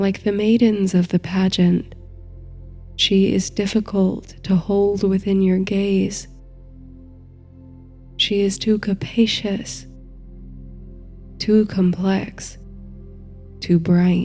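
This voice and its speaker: A woman at a medium pitch, very slow, with long, frequent pauses, monotone, flat intonation, very even loudness and music in the background. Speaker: sleep story narrator and meditation guide. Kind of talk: sleep story, guided meditation narration. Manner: soft, slow, calming.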